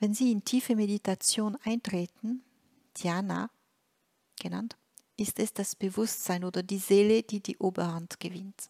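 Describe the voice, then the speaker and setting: Fairly slow speech with long, frequent pauses on a very clean recording with a silent background. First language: French (speaking German). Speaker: spiritual teacher. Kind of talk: reading aloud a translated spiritual text. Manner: halting, with frequent hesitations.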